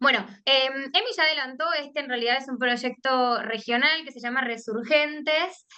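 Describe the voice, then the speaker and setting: In a room with audible echo, a woman raises and projects her voice, high in pitch with a bright, sharp tone and ordinary pitch variation. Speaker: economist, civil society director. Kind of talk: conference talk.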